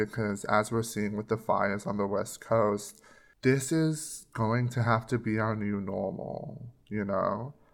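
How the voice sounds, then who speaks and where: Silent and very clean, the recording carries a man speaking at a very slow pace. His pitch is medium and his intonation fairly even. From Papua New Guinea. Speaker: podcast co-host. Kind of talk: casual chat.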